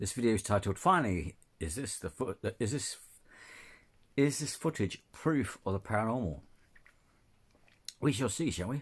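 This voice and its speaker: Speaking at a moderate pace, this man has a fairly low pitch and a somewhat breathy voice, with very wide pitch swings and long, frequent pauses. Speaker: reaction video youtuber. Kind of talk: casual reaction commentary. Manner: halting, many fillers.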